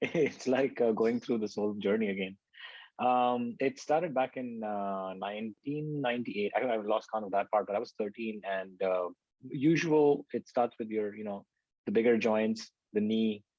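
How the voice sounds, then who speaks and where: This is a man with a plain, everyday voice at medium pitch, speaking at a moderate pace with ordinary pitch variation. The background is quiet and the sound is dry and close with no echo. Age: 30s. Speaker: patient panelist. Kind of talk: patient testimony. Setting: online video event.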